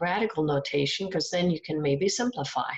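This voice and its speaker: A soft-spoken woman talks with a fairly low pitch. The background is quiet. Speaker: math teacher. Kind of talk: recorded lecture. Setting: at home. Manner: halting.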